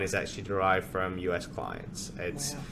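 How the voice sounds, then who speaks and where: A man in an Australian accent delivers his words fairly quickly. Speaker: podcast host. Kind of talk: casual interview chat.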